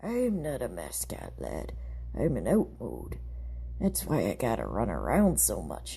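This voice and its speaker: Someone talks in a put-on character voice at a fairly slow pace. Background noise is clear. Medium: read story. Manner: gentle, folksy pirate talk.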